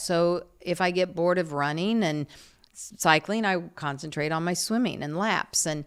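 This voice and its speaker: In an unremarkable speaking voice, a woman with an American accent talks at a moderate pace with fairly low pitch and fairly even intonation, recorded very cleanly against a silent background. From New York. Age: 50s. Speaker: retired TV news anchor. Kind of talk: casual chat.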